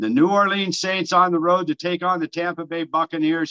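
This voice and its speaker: A man's high-pitched, bright, sharp, animated voice, dry and close with no echo. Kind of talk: sports betting talk show banter. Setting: studio. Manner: animated, jovial, wisecracking.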